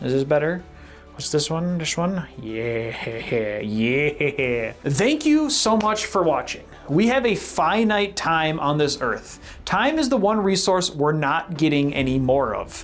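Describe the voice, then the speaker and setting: Loud and with very wide pitch swings, a woman with a very deep, low voice talks at a fairly slow pace against noticeable background noise. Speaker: history video creator. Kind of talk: casual video outro. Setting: home room. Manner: animated.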